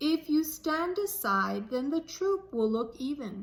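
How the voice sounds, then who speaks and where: A high-pitched put-on character voice from a woman at a fairly slow pace. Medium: read story. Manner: regretful, firm.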